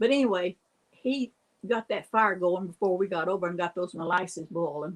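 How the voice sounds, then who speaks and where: A woman with an Appalachian accent talks at a moderate pace with ordinary pitch variation. The sound is dry and close, with no echo. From US Appalachia. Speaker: storyteller. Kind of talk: casual storytelling.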